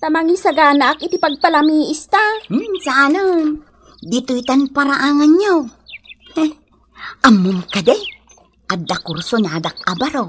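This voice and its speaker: Using a put-on character voice, a woman speaks at a high pitch and a fairly slow pace, with very wide pitch swings and long, frequent pauses. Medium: audio drama. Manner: sharp, scornful.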